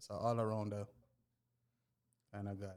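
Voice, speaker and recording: In a Jamaican accent, a man talks at a fairly low pitch with monotone, flat intonation. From Jamaica, East Kingston. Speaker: mechanic and car tuner. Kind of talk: casual podcast chat.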